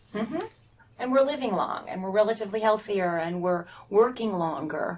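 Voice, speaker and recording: Over noticeable background noise, a woman at a medium pitch talks at a moderate pace with lively intonation. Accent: American. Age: 60s. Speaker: podcast host, journalist. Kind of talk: interview.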